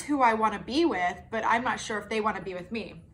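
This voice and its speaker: Room echo surrounds a woman with a fairly high pitch who speaks in an animated tone at a moderate pace. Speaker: tarot reader. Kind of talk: tarot reading monologue.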